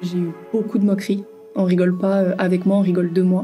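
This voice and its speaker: Music plays behind a woman with a southern French accent. Her pitch is medium. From Toulouse, southern France. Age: 20s. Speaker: student. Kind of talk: interview answer.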